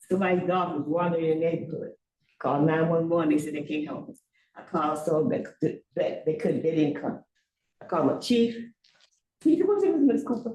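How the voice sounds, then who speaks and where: With a dark, mellow tone and a somewhat breathy sound, the speech moves at a fairly quick pace with lively intonation and long, frequent pauses. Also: woman, fairly low pitch for a woman. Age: 80s+. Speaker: public commenter at town board meeting. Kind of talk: public comment at a meeting. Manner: animated.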